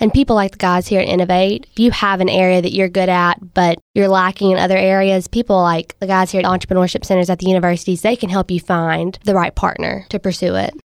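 Delivered very fast with hardly any pauses, the speech has a Southern US accent, fairly even intonation and very even loudness. The sound is dry and close with no echo. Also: woman, medium pitch for a woman. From US South, Mississippi. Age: 20s. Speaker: startup co-founder. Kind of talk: interview.

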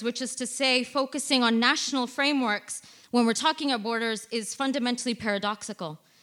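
At a fairly quick pace, a woman speaks in a high, bright, sharp voice. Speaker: migrant rights activist. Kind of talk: reading aloud. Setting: stage with audience.

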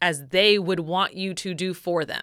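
A woman speaks loudly at a medium pitch with a bright, sharp tone, in a very clean recording with a silent background. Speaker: podcast host. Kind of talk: casual chat. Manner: animated.

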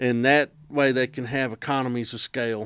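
A man with an American accent uses an ordinary speaking voice at medium pitch, speaking at a moderate pace with fairly even intonation. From Texas. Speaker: historian. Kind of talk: casual chat.

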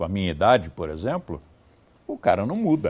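A man's dark, mellow tone carries vocal fry and very wide pitch swings. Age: 70s. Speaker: teacher. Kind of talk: podcast monologue.

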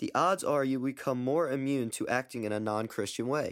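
In an ordinary speaking voice, a man with an American accent talks at a medium pitch and a moderate pace, with ordinary pitch variation. The recording is very clean, with a silent background. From US Mid-Atlantic, Baltimore. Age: young. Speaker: student podcaster. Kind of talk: religious testimony monologue.

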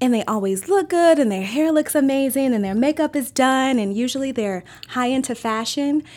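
A woman's high-pitched voice at a moderate pace, with lively intonation. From Maryland. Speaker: restaurant owner. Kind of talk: interview.

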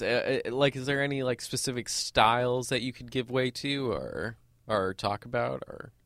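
A man talks at a moderate pace and medium pitch in an unremarkable speaking voice. The recording is very clean, with a silent background. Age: 20s. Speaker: student radio host. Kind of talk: casual chat. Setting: studio.

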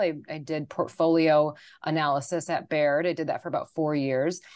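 With an American accent, a woman talks at a fairly quick pace in a fairly low pitch against a quiet background. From US Midwest, Wisconsin. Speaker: investment strategist. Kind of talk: casual interview about markets.

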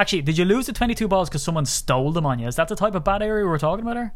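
A man with an Irish accent and lively intonation. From Ireland. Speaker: sports podcast host. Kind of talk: casual chat.

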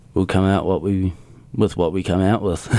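A moderate pace in a New Zealand accent. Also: man. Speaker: drummer in a metal band. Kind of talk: casual interview. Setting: studio.

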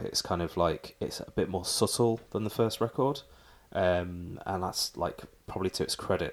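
In an English accent, a man talks at a moderate pace with a very deep, low pitch and fairly even intonation. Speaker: podcast host. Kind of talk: casual chat.

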